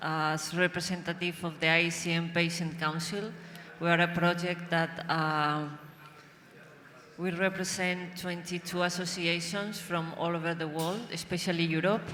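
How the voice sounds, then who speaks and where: With a Spanish accent and a bright, sharp tone, a woman speaks at a moderate pace in a fairly low pitch, her intonation monotone and flat. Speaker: patient advocate. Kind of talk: panel discussion.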